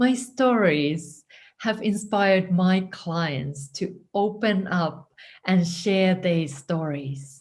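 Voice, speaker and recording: A woman with a Finnish accent speaks at medium pitch and a very slow pace, sounding somewhat breathy. Her pitch variation is ordinary, and the background is quiet. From Finland. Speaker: writing coach. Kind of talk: scripted narration.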